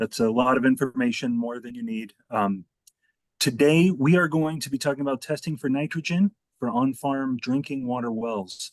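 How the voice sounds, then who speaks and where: Quiet and dry, with a close sound and no echo, a man speaks at a moderate pace. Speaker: environmental scientist. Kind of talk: meeting presentation. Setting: video call.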